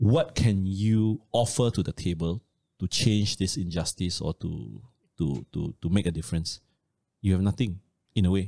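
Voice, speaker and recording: The speaker has a Malaysian accent, a dark, mellow tone, lively intonation, and a moderate pace. The sound is dry and close with no echo, in a very clean recording with a silent background. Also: man. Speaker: personal finance educator. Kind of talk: casual chat.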